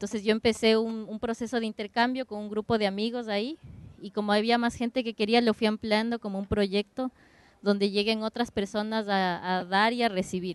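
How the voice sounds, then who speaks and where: In a dry, close sound with no echo, a woman speaks at a fairly quick pace and fairly high pitch with monotone, flat intonation. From Ecuador. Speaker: dance curator. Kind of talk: roundtable introduction. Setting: open discussion at a cafe.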